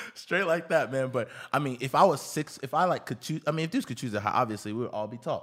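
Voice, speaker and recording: Talking at a very fast pace in an American accent, the speaker uses lively intonation and hardly any pauses. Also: man, fairly high pitch for a man. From Houston, Texas (Nigerian father). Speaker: podcast co-host. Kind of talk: casual chat.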